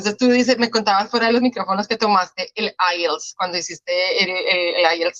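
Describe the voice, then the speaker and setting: A woman talks at a fairly quick pace and fairly high pitch, with ordinary pitch variation. The sound is dry and close, with no echo. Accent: Colombian. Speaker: podcast host. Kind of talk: interview.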